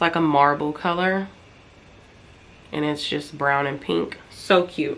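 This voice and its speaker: A woman speaks at a fairly slow pace with a very deep, low pitch. Her pitch variation is ordinary, and she takes long, frequent pauses. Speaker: vlogger and online reseller. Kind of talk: casual vlog talk to camera.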